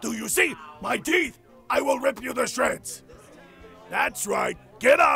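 Shouting in a put-on character voice at a fairly slow pace, a man is heard over faint background music. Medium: audio drama. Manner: aggressive, snarling, shouting.

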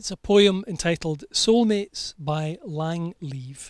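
A man with a Scottish accent speaks in a high voice with ordinary pitch variation. The sound is dry with no echo, and the background is quiet. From Scotland. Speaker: wedding celebrant. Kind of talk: poetry reading at wedding ceremony. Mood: warm, tender, measured. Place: garden. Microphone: handheld.

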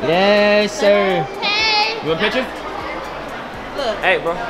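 Very slow speech over music in the background. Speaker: street interviewer. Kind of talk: casual street interview questions. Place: shop. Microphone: phone near.

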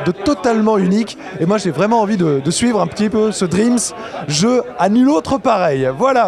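A man at a moderate pace, dry sound with no echo, noticeable noise behind him. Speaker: games journalist. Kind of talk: on-location report to camera. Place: hall. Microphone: handheld.

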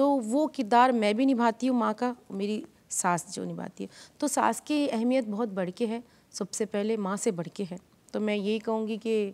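A woman's pitch varies in an ordinary way while her pace stays moderate. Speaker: comedy actress. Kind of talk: interview. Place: studio. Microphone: lapel.

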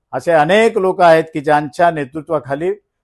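A man speaks at a fairly high pitch with ordinary pitch variation. The sound is dry and close with no echo over a quiet background. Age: 60s. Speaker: local politician. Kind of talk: press conference statement. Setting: press conference. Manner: animated.

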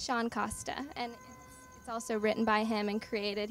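Speaking with an American accent, a woman uses a medium pitch at a moderate pace. Her pitch moves very little.

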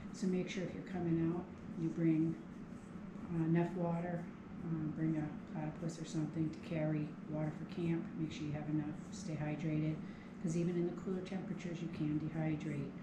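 Over clear background noise, a woman talks at a fairly quick pace with a low pitch and little pitch movement.

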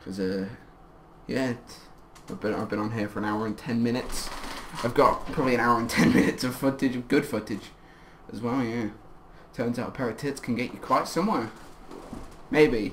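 Speech comes at a fairly quick pace, broken by long, frequent pauses, with noticeable background noise. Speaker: YouTuber. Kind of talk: casual chat. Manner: halting.

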